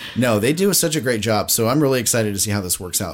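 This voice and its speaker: A man with an ordinary speaking voice at a medium pitch, lively intonation, on a very clean recording with a silent background. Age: 40s. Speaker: podcast co-host, former theme park employee. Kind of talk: casual chat. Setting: home podcast recording.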